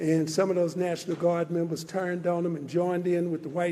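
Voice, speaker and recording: A man with an American accent speaks at a fairly quick pace in a high pitch. His intonation is monotone and flat, and there is noticeable background noise. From Texas, Dallas. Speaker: civil rights organization leader. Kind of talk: commemoration speech.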